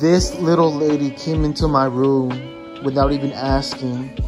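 Clear music plays in the background as a man speaks with an American accent. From Los Angeles. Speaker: vlogger. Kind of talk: casual vlog talk to camera. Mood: playfully annoyed, teasing sister. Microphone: phone near.

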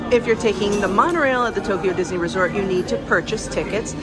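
Loud music plays in the background as a woman talks at a fairly quick pace. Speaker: travel vlogger. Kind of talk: casual vlog chat. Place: station. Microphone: phone near.

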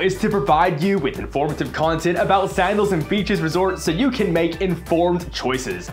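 A man's high-pitched voice at a fairly quick pace with ordinary pitch variation, faint music in the background. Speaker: travel agent channel host. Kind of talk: casual vlog chat.

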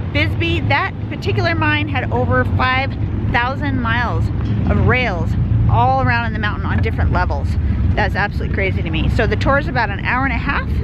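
Over loud background noise, a woman talks at a fairly quick pace in a dry sound with no echo. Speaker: travel vlogger. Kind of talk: casual vlog chat. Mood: enthusiastic. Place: street. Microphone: phone near.

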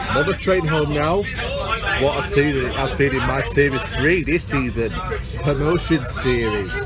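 A man talks at a moderate pace, the sound dry with no echo and clear music in the background. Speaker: football fan vlogger. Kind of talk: casual vlog chat. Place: train. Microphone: phone near.

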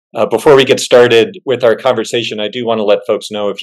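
Things sound quiet in the background. The speaking moves at a fairly quick pace. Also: man. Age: middle-aged. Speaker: church agency executive, webinar host; webinar host. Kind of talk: webinar moderation. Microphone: video call.

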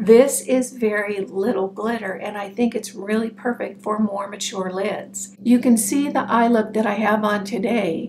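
A woman speaks at a moderate pace in a fairly high, warm voice, her intonation fairly even. She barely pauses, with light noise in the background. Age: 60s. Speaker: beauty vlogger. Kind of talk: monologue video, product review. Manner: warm, friendly. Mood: frank, relaxed.

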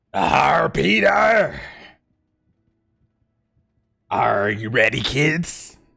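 Putting on a character voice, a man speaks very slowly at a medium pitch, raspy and with long, frequent pauses. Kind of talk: playful gaming commentary. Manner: playful, booming.

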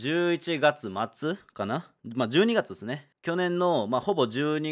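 Speaking fairly slowly in a relaxed tone, a man is heard on a very clean recording with a silent background. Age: 20s. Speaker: gaming YouTuber. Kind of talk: solo video monologue announcement. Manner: casual, relaxed.

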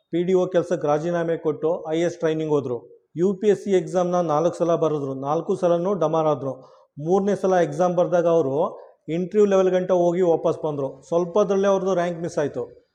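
Pitched high yet dark and mellow in tone, a man's voice holds a fairly even intonation. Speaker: YouTube educator and local promoter. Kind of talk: promotional announcement to local youth. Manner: emphatic.

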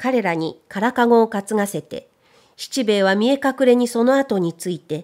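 On a very clean recording with a silent background, a woman speaks at a fairly high pitch. She has a plain, everyday voice, with ordinary pitch variation and a moderate pace. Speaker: narrator; voice trainer. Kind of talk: audiobook reading.

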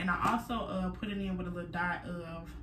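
A woman is speaking. Noticeable background noise runs underneath her voice. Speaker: lifestyle vlogger. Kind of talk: casual vlog chat. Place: home room. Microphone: phone near.

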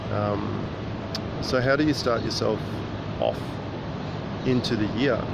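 A man's voice, dry with no echo, under loud background noise. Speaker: vlogger. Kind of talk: casual vlog chat, reflective musing. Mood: reflective, calm. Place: waterside. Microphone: phone near.

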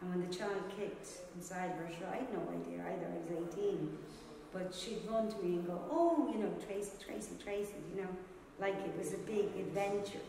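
A woman talks at a moderate pace with fairly even intonation, her voice carrying strong room echo over light background noise. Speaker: interviewee. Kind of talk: interview answer. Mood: earnest, recalling painful memories. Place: hall.

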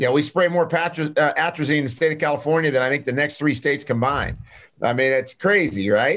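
A man at a fairly high pitch, animated in tone, very fast in pace, with ordinary pitch variation. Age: 60s. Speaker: clinical pharmacist and nutritionist; podcast guest. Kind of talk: interview. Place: office. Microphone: video call.

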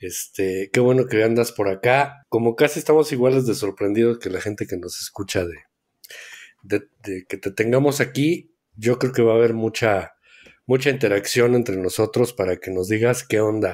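Over a silent background on a very clean recording, a man speaks at a moderate pace and medium pitch with ordinary pitch variation, in a plain, everyday voice. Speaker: board game podcast co-host. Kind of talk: casual chat.

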